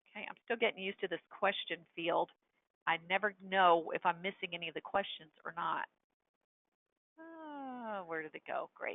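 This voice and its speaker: A woman's medium-pitched voice at a moderate pace. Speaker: software trainer. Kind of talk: webinar tutorial. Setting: webinar with screen share.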